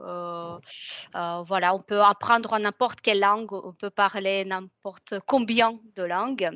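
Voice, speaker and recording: At a very slow pace, a bright, sharp voice moves with fairly even intonation and big swings in loudness, dry and close with no echo. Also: woman, medium pitch for a woman. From Russia. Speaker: French tutor. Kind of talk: interview. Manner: hesitant, many fillers.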